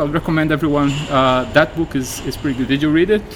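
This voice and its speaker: Fairly even intonation marks this man's speech. He goes at a very fast pace against noticeable background noise. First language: Portuguese. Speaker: game industry professional. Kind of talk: interview. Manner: hesitant with many fillers.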